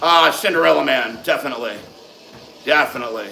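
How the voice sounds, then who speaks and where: Over music in the background, a man speaks in an animated tone with audible room echo. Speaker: fitness livestream host. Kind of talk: live stream Q and A chat. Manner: loud.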